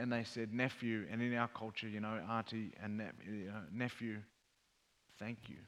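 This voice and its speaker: A man with an Australian accent speaks at a moderate pace and medium pitch, his intonation monotone and flat. He leaves long, frequent pauses. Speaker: mental health advocate and former rugby player. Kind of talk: panel discussion on stage. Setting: stage with audience.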